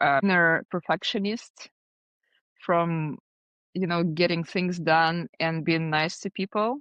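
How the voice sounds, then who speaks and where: A woman with a Russian accent, fairly low in pitch with ordinary pitch variation, at a very slow pace, in a dry, close sound with no echo. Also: quiet background. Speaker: design agency founder. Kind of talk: podcast interview.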